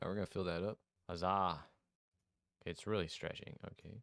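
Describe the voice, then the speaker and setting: A man with a very deep, low pitch speaks at a moderate pace, the recording very clean with a silent background and a dry, close sound with no echo. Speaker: game dev YouTuber. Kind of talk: tutorial. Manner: animated.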